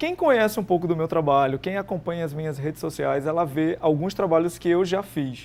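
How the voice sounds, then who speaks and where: Speech runs at a fairly quick pace with hardly any pauses. Pitch variation is ordinary. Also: man, high pitch for a man. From Paraíba, Brazil. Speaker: artist and entrepreneur. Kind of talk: TV interview.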